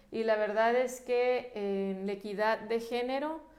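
A woman talks at a fairly slow pace, her fairly high pitch moving with ordinary variation. Audible echo fills the room around her. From Mexico, La Paz, Baja California Sur. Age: 30s. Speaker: politician. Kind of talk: interview. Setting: studio.

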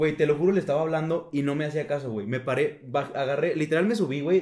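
Speaking at a very fast pace, a man uses ordinary pitch variation. His words come quickly. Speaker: podcast co-host. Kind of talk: casual chat. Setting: home recording in his bedroom.

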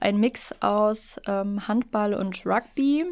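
Very slow talking from a woman, fairly high in pitch and with ordinary pitch variation. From northern Lower Saxony coast, Germany. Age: 20s. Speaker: student teacher and canoe polo player. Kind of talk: podcast interview.

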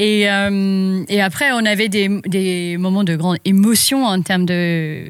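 A woman speaks very slowly at a medium pitch, with fairly even intonation and very even loudness. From South Africa (Johannesburg). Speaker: farmer. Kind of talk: casual chat. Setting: on a farm.

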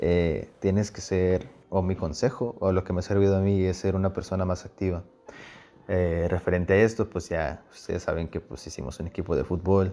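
A man with a very deep, low pitch and a dark, mellow tone speaks at a moderate pace with fairly even intonation. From Mexico, Puebla and Sinaloa (Guasave). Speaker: student. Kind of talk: casual chat.

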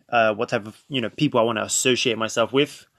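A man with a London accent speaks at medium pitch with fairly even intonation, the sound dry and close with no echo. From North London, England. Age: 20s. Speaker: podcast host. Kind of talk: casual monologue.

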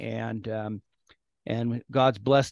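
Recorded with a dry, close sound and no echo against a quiet background, a man speaks with a West Coast US accent. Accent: General American (West Coast). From California. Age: 50s. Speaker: pastor and author. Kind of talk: interview.

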